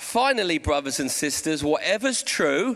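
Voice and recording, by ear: A man with a Portsmouth accent, fairly slow, with lively intonation and a fairly bright tone. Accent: southern English, Portsmouth.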